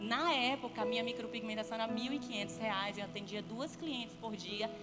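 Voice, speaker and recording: Music plays as a woman with a northeastern Brazilian accent speaks with lively intonation, her voice carrying audible room echo. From Brazilian Northeast. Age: 30s. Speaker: guest speaker, entrepreneur and business consultant. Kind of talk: church talk with personal testimony.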